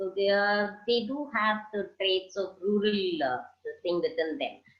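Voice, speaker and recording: With lively intonation, a woman with a plain, everyday voice speaks at a fairly slow pace and medium pitch. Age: 60s. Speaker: social entrepreneur. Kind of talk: interview answer.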